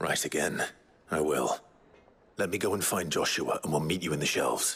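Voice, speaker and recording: In a raspy put-on character voice, the speaker keeps a calm tone, fairly even intonation, very even loudness and a moderate pace. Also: man, very deep, low pitch for a man. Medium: video game. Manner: direct, calm.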